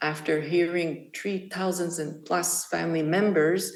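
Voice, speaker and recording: A woman's fairly low-pitched voice with a French-Canadian accent, fairly slow pace and audible room echo. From Quebec. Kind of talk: speech. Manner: halting.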